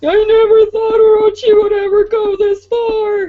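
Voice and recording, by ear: Using a put-on character voice, a female-sounding speaker talks at a moderate pace with an extremely high pitch and monotone, flat intonation.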